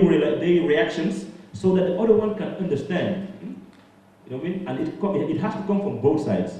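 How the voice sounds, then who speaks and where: A man speaks with a high pitch. Noticeable background noise and audible room echo surround him. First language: French. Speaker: activist and musician. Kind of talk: panel discussion. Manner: halting, hesitant.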